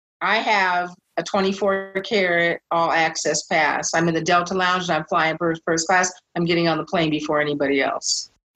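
A woman with an American accent, medium pitch and fairly even intonation, in an ordinary speaking voice. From US Pacific Northwest, Seattle. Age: 60s. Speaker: memoir author. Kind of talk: interview.

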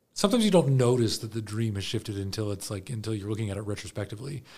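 A man with an American accent speaks in a medium pitch, somewhat breathy. His pitch varies in an ordinary way on a very clean recording with a silent background. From US, Baltimore area. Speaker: theater program director and actor. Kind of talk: interview conversation. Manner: halting, many fillers and restarts.

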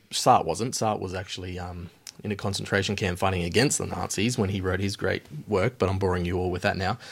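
Very deep and low, a man's voice with an Australian accent moves at a very fast pace with fairly even intonation. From Alice Springs, central Australia. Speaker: podcast co-host, PhD student. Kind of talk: casual chat.

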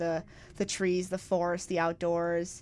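Speaking at a fairly slow pace, a woman has an ordinary speaking voice at a medium pitch. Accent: American. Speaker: college rugby player. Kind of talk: interview.

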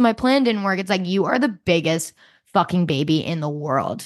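A woman's fairly quick speech with very wide pitch swings, over a quiet background. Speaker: podcast co-host. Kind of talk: casual chat. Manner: excitable.

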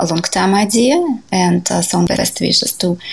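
A woman speaks at a fairly slow pace with a Russian accent. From Siberia, Russia. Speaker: jazz pianist and composer. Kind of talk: interview. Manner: halting.

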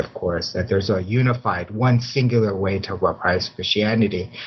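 Somewhat breathy, a man with an American accent talks at a moderate pace and a fairly low pitch, with ordinary pitch variation. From US Midwest, Chicago. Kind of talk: interview. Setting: video call.

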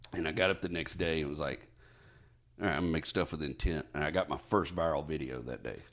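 A man with a very deep, low pitch and vocal fry speaks at a very fast pace in a very clean recording with a silent background. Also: ordinary pitch variation. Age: 40s. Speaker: stand-up comedian. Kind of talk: casual chat.

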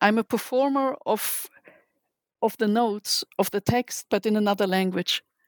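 At a moderate pace, a woman with a fairly high voice and fairly even intonation holds her loudness very even, recorded dry and close with no echo against a silent, very clean background. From Germany. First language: German. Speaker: literary translator. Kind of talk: interview. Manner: halting.

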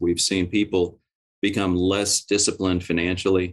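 A man speaks with an American accent in a very deep, low pitch. The background is quiet. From Oklahoma. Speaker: real estate investment firm president. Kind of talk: interview conversation.

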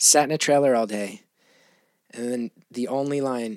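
A man at medium pitch and moderate pace, with ordinary pitch variation and a plain, everyday voice, on a very clean recording with a silent background. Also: dry, close sound with no echo. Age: 40s. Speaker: comedian and actor. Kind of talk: casual chat.

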